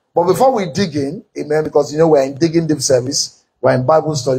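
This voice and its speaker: A man's dark, mellow tone comes through somewhat breathy, with fairly even intonation. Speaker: pastor teaching. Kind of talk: sermon. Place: church. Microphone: podium.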